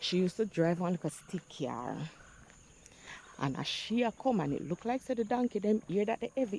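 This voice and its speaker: Speaking at a moderate pace, a woman uses lively intonation at a medium pitch, the sound dry and close with no echo. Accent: Jamaican. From Jamaica, St. Andrew. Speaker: vlogger. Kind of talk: casual vlog monologue, Jamaican patois.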